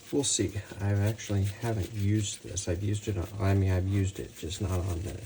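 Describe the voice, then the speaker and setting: Over noticeable background noise, a man speaks quietly. His pitch is fairly low and his intonation fairly even. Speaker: barbecue cooking channel host. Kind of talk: cooking tutorial. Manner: quiet, keeping voice down.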